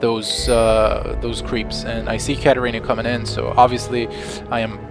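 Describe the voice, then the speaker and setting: Music plays behind a man as he talks. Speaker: gameplay commentator. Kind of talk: video game commentary. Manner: monotone, a little sleepy.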